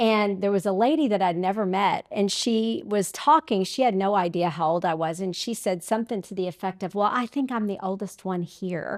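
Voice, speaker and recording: A woman talks at a fairly quick pace with hardly any pauses. She has a plain, everyday voice at medium pitch with ordinary pitch variation. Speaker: podcast host. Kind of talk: interview conversation.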